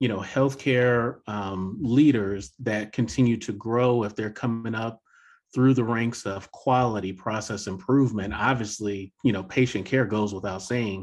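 A normal speaking voice, fairly slow and fairly even in intonation, over a quiet background. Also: man. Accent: American. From US South. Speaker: podcast host. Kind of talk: interview conversation.

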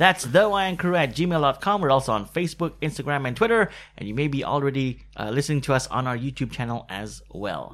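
On a very clean recording with a silent background, a man with a normal speaking voice talks at a fairly quick pace with lively intonation. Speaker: podcast host. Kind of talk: casual chat.

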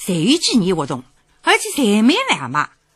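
With a Shanghainese accent, a woman speaks at a moderate pace, her pitch swinging very widely. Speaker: radio host. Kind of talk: scripted narration.

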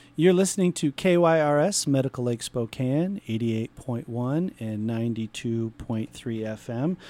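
Speaking at a moderate pace with hardly any pauses, a man uses lively intonation at a medium pitch, his tone dark and mellow. The sound is dry and close with no echo, a very clean recording with a silent background. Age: 40s. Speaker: radio host. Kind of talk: radio interview. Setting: radio studio.

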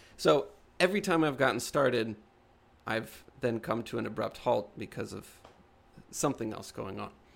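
A man speaks with vocal fry and lively intonation at a moderate pace, with big swings in loudness. He leaves long, frequent pauses, and the recording is very clean with a silent background. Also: medium pitch for a man. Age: 30s. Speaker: podcast co-host and artist. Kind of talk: casual chat.

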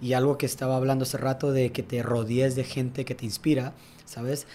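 A man at a fairly quick pace, with medium pitch and monotone, flat intonation. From Tijuana, Mexico. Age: 20s. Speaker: tennis coach. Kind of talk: casual interview.

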